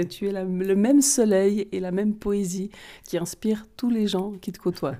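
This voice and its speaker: A woman with a Vaud accent speaks at a fairly slow pace in a medium pitch with a dark, mellow tone. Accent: Vaud Swiss French. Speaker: holistic therapist and card reader. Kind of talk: interview.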